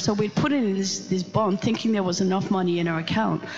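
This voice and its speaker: A moderate pace and ordinary pitch variation, in a Dutch accent. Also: woman. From Netherlands. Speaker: pastor. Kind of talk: sermon. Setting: church. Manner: animated.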